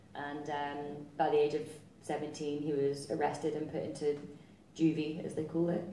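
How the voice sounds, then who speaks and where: Over light background noise and audible room echo, a woman with a Highland Scottish accent speaks in a very deep, low pitch with monotone, flat intonation. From Scottish Highlands. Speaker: social entrepreneur; guest. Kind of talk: talk with audience Q&A. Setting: stage with audience. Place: stage.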